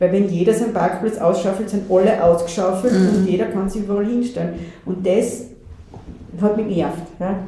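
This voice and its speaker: With a medium pitch and fairly even intonation, a woman speaks at a moderate pace. Noticeable background noise and audible room echo are present. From Austria, western Styria. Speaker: landscape planner. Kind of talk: casual interview. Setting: coworking space.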